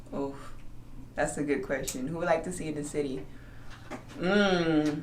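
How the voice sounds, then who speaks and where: Her voice very deep and low, a woman speaks in an animated tone, with audible room echo and noticeable background noise. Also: moderate pace. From San Antonio, Texas. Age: 30s. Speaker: DJ. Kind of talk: casual interview chat.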